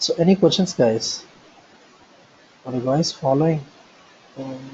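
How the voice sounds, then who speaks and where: Noticeable background noise sits behind a man with a fairly high pitch. He speaks at a fairly slow pace with ordinary pitch variation. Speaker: software trainer. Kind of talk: online training session.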